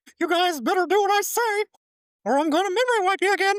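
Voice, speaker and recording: The speaker uses a put-on character voice at an extremely high pitch. The delivery runs at a very fast pace. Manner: commanding.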